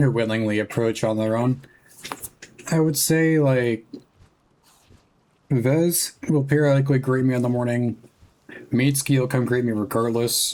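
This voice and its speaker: Soft-spoken and very even in loudness, a man with a medium-pitched voice talks at a moderate pace. His intonation stays fairly even, broken by long, frequent pauses. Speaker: streamer. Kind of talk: casual gaming stream chat.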